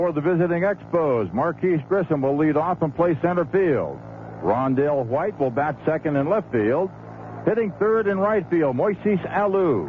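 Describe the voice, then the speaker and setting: A man speaks at a fairly slow pace in a fairly high pitch. His pitch varies in an ordinary way, and noticeable background noise can be heard. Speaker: radio baseball announcer. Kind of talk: radio baseball lineup announcement. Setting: broadcast booth.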